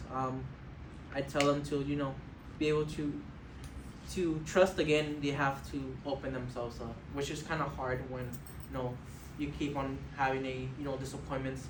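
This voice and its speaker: A man's fairly high-pitched, monotone, flat delivery with long, frequent pauses, amid audible room echo and noticeable background noise. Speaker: college student and former homeless youth. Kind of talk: interview answers to a board. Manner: fast; halting, many fillers.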